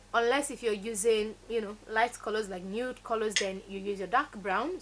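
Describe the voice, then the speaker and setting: In a Nigerian accent, a woman with a fairly high pitch talks at a moderate pace in an animated tone. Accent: Nigerian (Yoruba) English. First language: Yoruba. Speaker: beauty vlogger. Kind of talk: tutorial.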